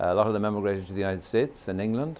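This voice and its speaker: A man talks at a very fast pace with an Irish accent. His pitch sits fairly low. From Ireland. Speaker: storyteller. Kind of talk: interview answer.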